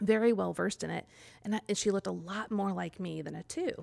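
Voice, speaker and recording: A woman speaks with a Midwestern American accent. The recording is very clean, with a silent background. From US Midwest (Kansas City area). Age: 40s. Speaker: personality-typing coach and author. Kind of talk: interview.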